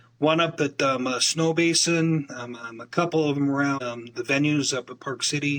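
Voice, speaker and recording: With an American accent, a man with a fairly high voice talks at a moderate pace with fairly even intonation and hardly any pauses. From Utah. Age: 60s. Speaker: community networker and business developer. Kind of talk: interview conversation. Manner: halting, many fillers and repetitions.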